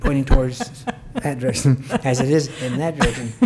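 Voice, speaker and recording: The speaker has an American accent and a moderate pace. Noticeable background noise is present. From US West, Mesquite, Nevada. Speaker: retired school principal. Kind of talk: oral history interview.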